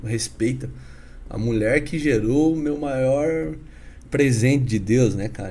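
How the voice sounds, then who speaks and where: The voice has a dark, mellow tone and is somewhat breathy. Its pitch varies in an ordinary way, and audible room echo surrounds it. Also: man. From Paraná, Brazil (Curitiba / northern Paraná). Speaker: businessman and evangelist. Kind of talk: casual interview chat with testimony.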